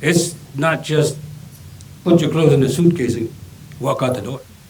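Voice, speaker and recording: An American accent marks this man's fairly high voice, heard at a moderate pace with ordinary pitch variation amid noticeable background noise and audible room echo. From Perrysburg, Ohio. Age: 60s. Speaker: resident speaking at public meeting. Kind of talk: public comment.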